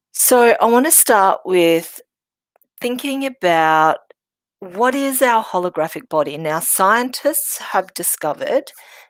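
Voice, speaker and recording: A woman speaks at a fairly slow pace in a fairly high pitch, with very wide pitch swings. The recording is very clean, with a silent background. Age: 60s. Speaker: medical intuitive, healer. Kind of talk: workshop talk. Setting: workshop with audience. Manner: halting.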